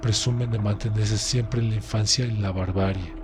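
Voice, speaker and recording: Music plays in the background as a man speaks in a Mexican accent. His pitch is fairly low and his intonation fairly even. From Mexico. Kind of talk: audiobook narration.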